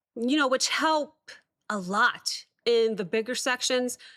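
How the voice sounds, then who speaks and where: A woman's high-pitched voice at a very slow pace, in a very clean recording with a silent background. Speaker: music reaction youtuber. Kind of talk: casual reaction commentary. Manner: hesitant with many fillers.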